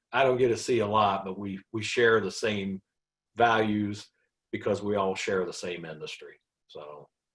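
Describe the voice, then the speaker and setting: With an ordinary speaking voice, a man talks at a moderate pace in a fairly low pitch and fairly even intonation. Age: 60s. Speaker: trucking company owner. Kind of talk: casual chat.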